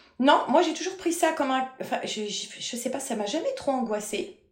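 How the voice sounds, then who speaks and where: A woman's high voice with very wide pitch swings, a moderate pace, and audible room echo. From France, Paris region (Versailles). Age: 40s. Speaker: medium. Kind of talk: interview.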